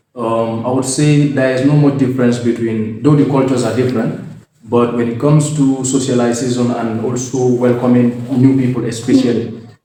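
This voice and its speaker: A man with a Gambian accent speaks at medium pitch and a fairly quick pace. His intonation is monotone and flat, with audible room echo around him. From The Gambia, West Africa. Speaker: engineering student. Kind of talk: interview. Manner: hesitant, many fillers.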